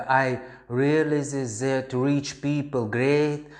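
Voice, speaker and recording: A man with a Russian accent speaks in a space with audible room echo. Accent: Russian accent, non-native English. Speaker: crypto investor vlogger. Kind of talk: personal story monologue. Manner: halting, many fillers.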